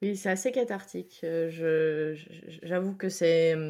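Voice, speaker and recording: Very slowly and with fairly even intonation, a woman speaks at a fairly low pitch. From grew up in many countries, French-Bangladeshi family. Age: 30s. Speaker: singer-songwriter. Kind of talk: interview. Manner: halting, many repetitions.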